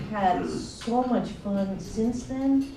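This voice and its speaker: A woman's lively intonation comes through noticeable background noise and audible room echo. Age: 60s. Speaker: former radio DJ. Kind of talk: panel discussion. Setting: stage with audience. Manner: halting.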